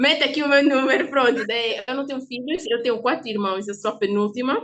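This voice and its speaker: Speaking at a fairly quick pace, a woman uses a high voice with ordinary pitch variation. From Angola. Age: 20s. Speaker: podcast guest. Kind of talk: interview.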